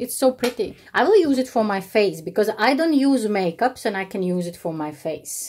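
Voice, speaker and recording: A woman with a non-native accent speaks in an animated tone at a moderate pace, with hardly any pauses. Her fairly high pitch swings very widely. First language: not English. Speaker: YouTuber. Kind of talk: unboxing vlog. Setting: home, evening. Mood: warm, delighted, grateful. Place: home room. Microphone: phone near.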